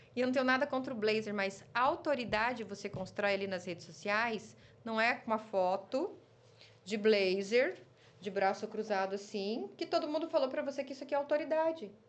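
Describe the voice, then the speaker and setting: A woman with a slight Curitiba accent speaks with lively intonation. Her pitch is fairly high. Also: moderate pace. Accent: light southern Brazilian, Curitiba. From Curitiba, Brazil.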